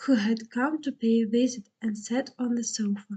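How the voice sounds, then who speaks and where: Soft-spoken, with a Russian accent and a dark, mellow tone. The pace is very slow and the intonation fairly even. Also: woman. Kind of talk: bedtime story reading.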